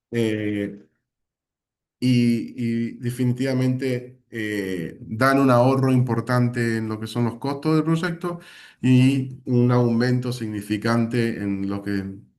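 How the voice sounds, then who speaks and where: Very slow delivery from a man at a medium pitch. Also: ordinary pitch variation. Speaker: company sales director presenting products. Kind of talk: webinar product presentation.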